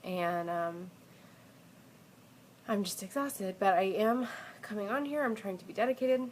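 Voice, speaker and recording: Her pitch medium and its variation ordinary, a woman talks while noticeable background noise is heard. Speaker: expectant mother. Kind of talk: casual talk to camera.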